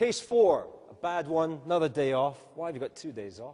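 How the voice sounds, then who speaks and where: Fairly high in pitch with a dark, mellow tone, a man speaks at a moderate pace with lively intonation. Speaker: emergency medicine residency program director. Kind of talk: conference workshop presentation. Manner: mumbling.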